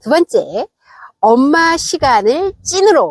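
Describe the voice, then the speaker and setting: The speech is very slow, with very wide pitch swings. The sound is dry and close, with no echo. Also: woman. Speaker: vlogger. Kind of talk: casual vlog monologue. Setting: outdoors.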